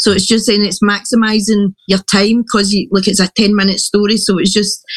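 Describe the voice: At a fairly quick pace, a woman speaks with a medium pitch and little pitch movement.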